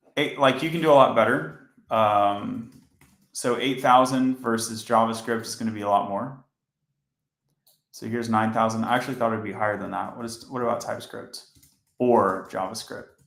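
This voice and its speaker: At medium pitch and a moderate pace, a man speaks with fairly even intonation, big swings in loudness and long, frequent pauses, with audible room echo. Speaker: software engineer streaming coding. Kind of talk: live coding stream. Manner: monotone.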